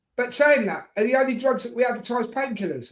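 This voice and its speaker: A man with a British accent at an extremely high pitch, speaking very fast. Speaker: football fan streamer. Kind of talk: casual chat. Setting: live stream.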